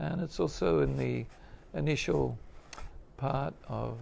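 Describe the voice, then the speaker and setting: A man is talking. He is soft-spoken. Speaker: spiritual teacher. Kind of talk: religious class. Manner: halting, many fillers.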